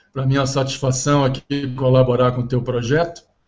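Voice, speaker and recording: Music plays in the background as a man with medium pitch speaks at a fairly quick pace. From Brazil, Rio de Janeiro (Ipanema). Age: 60s. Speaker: ocean engineering professor. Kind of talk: interview.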